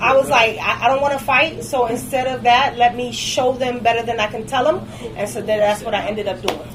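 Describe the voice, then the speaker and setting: Over noticeable background noise, a woman with an American accent speaks fairly quickly in a high voice with fairly even intonation. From Detroit, US. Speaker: cigar lounge owner. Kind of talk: casual interview.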